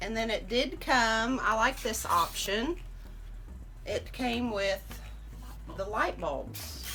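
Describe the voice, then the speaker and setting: A woman talks at a very slow pace. Long, frequent pauses break up her speech. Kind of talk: casual talk to camera.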